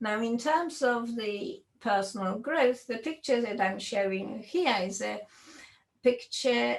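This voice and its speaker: A woman speaks with a fairly high pitch. Her pace is fairly slow. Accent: Polish. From Poland. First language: Polish. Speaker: computer science professor. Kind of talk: lecture.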